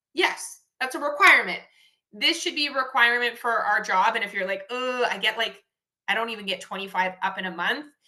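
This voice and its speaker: Her voice is fairly high for a woman, with a bright, sharp tone and lively intonation. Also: fairly quick pace. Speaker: network marketing team leader. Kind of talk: team training call. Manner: fast; animated.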